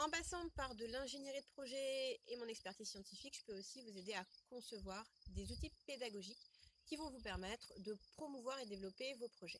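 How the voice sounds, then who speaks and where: A woman speaks with a high pitch. She keeps a moderate pace and ordinary pitch variation. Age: 30s. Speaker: educational project manager and marketing trainer. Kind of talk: interview answer.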